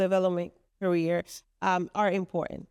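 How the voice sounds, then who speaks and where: A woman with a Spanish accent at medium pitch and a moderate pace, in a dry, close sound with no echo on a very clean recording with a silent background. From Dominican Republic. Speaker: venue co-founder and commercial real estate professional. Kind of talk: casual interview chat. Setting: podcast recorded at venue headquarters. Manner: halting.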